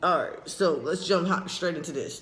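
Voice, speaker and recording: With a high pitch and a fairly quick pace, a man speaks in audible room echo. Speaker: transgender vlogger. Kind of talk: casual vlog update. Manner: casual, rambling.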